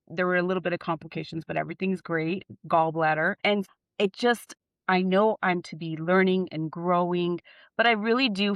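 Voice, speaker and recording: In an American accent, a woman speaks with a fairly low pitch and fairly even intonation. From California, Bay Area (San Jose). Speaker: podcast guest sharing sobriety story. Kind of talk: casual interview chat, personal testimony. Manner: loud.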